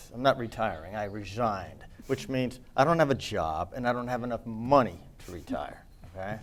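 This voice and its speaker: A man talks at a moderate pace and medium pitch. His intonation is lively and his loudness swings widely. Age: 60s. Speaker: student media manager and faculty advisor. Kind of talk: casual farewell remarks on a student TV show.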